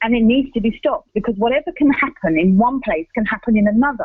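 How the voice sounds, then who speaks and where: The speaker has an English accent and a fairly quick pace. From England. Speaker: radio presenter. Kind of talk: radio commentary. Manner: halting.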